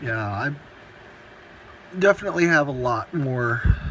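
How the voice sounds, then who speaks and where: Ordinary pitch variation marks a man's voice heard over noticeable background noise. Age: 20s. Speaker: home server hobbyist, student. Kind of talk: casual tech walkthrough video. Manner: halting, many fillers.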